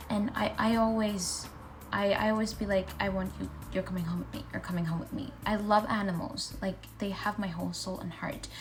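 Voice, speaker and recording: A woman speaks at a moderate pace with audible room echo. Music plays in the background. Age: 20s. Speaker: lifestyle vlogger. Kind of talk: casual Q&A vlog.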